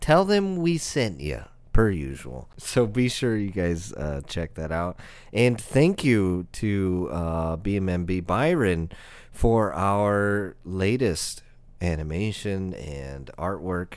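Speaking at a very slow pace, a man with a very deep, low pitch uses lively intonation. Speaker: podcast host. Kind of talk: casual chat podcast; street-seller pitchman ad read. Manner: jokey, laughs often.

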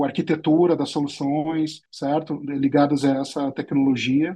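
Monotone and flat in intonation, a man speaks at a fairly slow pace with a fairly high pitch. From southern Brazil, Porto Alegre. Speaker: tech entrepreneur. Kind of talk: interview.

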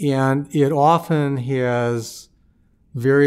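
A man speaks at a medium pitch with fairly even intonation. The recording is very clean with a silent background. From US Midwest, St. Louis. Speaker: federal judge. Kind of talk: interview. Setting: studio.

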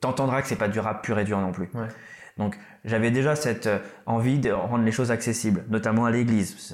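A man with an ordinary speaking voice talks at a medium pitch and a fairly quick pace. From Réunion, Malagasy heritage. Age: 30s. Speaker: rapper. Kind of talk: casual interview.

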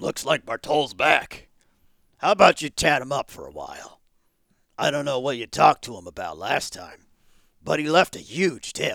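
In a put-on character voice that is raspy, the speaker moves at a moderate pace with long, frequent pauses and big swings in loudness, all in a dry, close sound with no echo. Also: man, fairly high pitch for a man. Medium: audio drama. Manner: brisk, casual.

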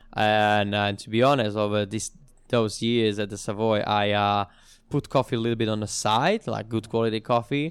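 A man with a Slovak accent speaks at a fairly low pitch and a moderate pace with fairly even intonation, in a very clean recording with a silent background. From Slovakia. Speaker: bartender and coffee consultant. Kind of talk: interview.

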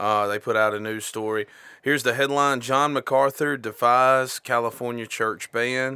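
Speaking in a Southern US accent, a man has a medium pitch and a bright, sharp tone. He keeps a moderate pace and fairly even intonation on a very clean recording with a silent background. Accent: US South. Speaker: podcast co-host. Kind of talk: casual chat.

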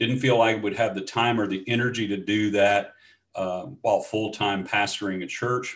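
Man with a Louisiana accent, fairly low pitch, fairly even intonation and moderate pace, over a quiet background. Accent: Louisiana Southern US. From US South. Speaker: former pastor, change management consultant. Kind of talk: interview conversation.

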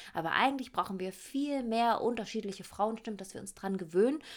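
A woman talks at a fairly quick pace with an animated tone. Her pitch varies in an ordinary way. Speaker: podcast host. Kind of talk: casual monologue.

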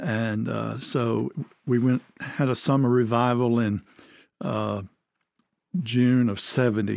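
A man's medium-pitched voice with an Alabama accent, on a very clean recording with a silent background. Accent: Southern US (Alabama). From Alabama (near Birmingham). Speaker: retired pastor. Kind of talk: casual interview.

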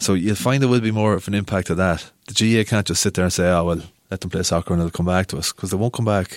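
In a very clean recording with a silent background, a man with a Cavan Irish accent speaks very fast in a very deep, low pitch with ordinary pitch variation. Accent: Irish (Ulster, Cavan). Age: 30s. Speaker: sports editor of a local newspaper. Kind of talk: casual chat.

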